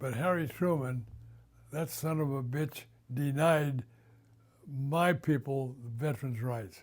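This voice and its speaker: Here a man speaks at a very slow pace, somewhat breathy. His pitch variation is ordinary. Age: 90s. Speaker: WWII merchant marine veteran. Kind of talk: oral history interview.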